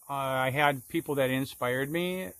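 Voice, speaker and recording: A man with an American accent and an ordinary speaking voice, medium in pitch, at a fairly slow pace. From Minnesota, Minneapolis. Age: 60s. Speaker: sign and window painter teaching a course. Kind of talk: solo Q&A monologue, promotional. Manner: casual, conversational with fillers.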